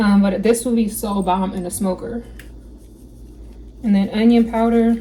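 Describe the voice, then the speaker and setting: The speech moves at a moderate pace with long, frequent pauses and a monotone, flat intonation over noticeable background noise. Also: woman, fairly high pitch for a woman. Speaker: cooking vlogger. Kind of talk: cooking tutorial. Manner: casual, chatty.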